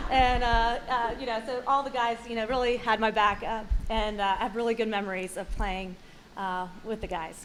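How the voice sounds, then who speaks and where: Speaking at a fairly quick pace, a woman with an American accent uses a fairly high pitch. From South Carolina, Fort Mill. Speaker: hall of fame inductee. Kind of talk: acceptance speech. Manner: fast; hesitant, many fillers.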